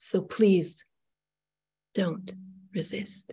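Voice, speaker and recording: Somewhat breathy speech comes through. The speaker is a woman. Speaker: moderator, writer and poet. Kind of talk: interview moderation. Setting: video call webinar.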